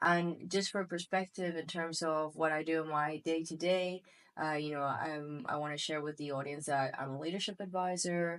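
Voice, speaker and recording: Fairly low-pitched woman's voice at a moderate pace, fairly even intonation, over a quiet background. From Spain, Costa Blanca. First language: Spanish. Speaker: podcast co-host, leadership advisor. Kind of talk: casual chat.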